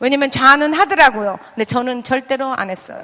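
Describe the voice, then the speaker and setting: A woman with a high voice talks at a fairly quick pace. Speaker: pastor's wife and speaker. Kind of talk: sermon. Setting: church with audience.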